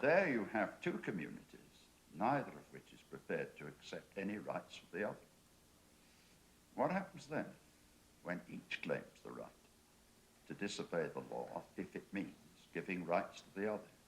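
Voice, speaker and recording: A man with an English accent speaks at a moderate pace. He leaves long, frequent pauses. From England. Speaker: panelist. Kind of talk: panel discussion.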